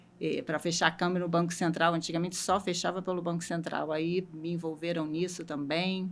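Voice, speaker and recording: A woman's fairly low-pitched, monotone, flat delivery at a moderate pace, in a Rio de Janeiro accent. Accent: carioca. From Rio de Janeiro, Brazil. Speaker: logistics manager. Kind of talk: interview.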